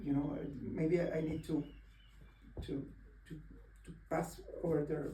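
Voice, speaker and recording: A man with a Spanish accent speaks at a fairly slow pace. He makes long, frequent pauses, and room echo is audible. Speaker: poet. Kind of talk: conversation at a reading event. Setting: bookshop event with audience. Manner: halting, many repeated words.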